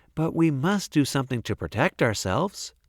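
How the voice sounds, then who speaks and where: Someone performs a put-on character voice at a fairly quick pace. The recording is very clean, with a silent background. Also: man, fairly high pitch for a man. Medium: read story.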